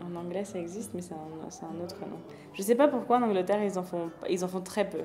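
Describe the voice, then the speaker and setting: A woman speaks at a medium pitch with a slight non-native accent, fairly quickly and with ordinary pitch variation. Her loudness swings widely, and there is audible room echo and noticeable background noise. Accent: slight foreign accent in French. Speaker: architecture magazine editor. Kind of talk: casual interview conversation.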